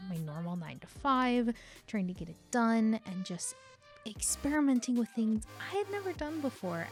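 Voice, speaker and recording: A woman's fairly high voice at a moderate pace, swinging very widely in pitch over music in the background. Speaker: digital artist. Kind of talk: voiceover commentary on a speedpaint.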